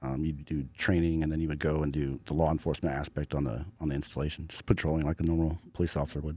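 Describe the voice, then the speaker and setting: A man's very fast, monotone, flat delivery with hardly any pauses, very deep and low in pitch with a dark, mellow tone. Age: 30s. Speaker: wildland fire investigator, military veteran. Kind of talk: casual interview.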